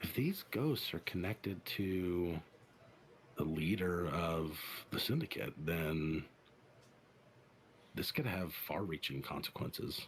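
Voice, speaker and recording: Using a put-on character voice, a man speaks with a raspy, very deep, low pitch and ordinary pitch variation. He goes at a fairly slow pace with long, frequent pauses, against clear background noise. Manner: grave, measured.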